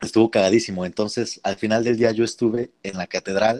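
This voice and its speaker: A normal speaking voice at a fairly quick pace, in a dry, close sound with no echo. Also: man. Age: 20s. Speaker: concert pianist. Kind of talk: casual interview.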